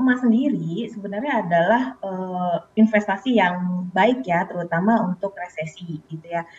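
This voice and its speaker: A woman at a moderate pace with hardly any pauses. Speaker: financial planner. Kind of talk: news interview. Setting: video call. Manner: hesitant with fillers. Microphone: delayed connection.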